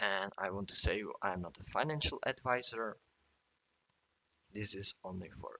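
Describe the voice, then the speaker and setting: A man with a non-native accent speaks at a fairly slow pace in a fairly low voice. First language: not English. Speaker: trading chart analyst. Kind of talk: tutorial. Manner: halting.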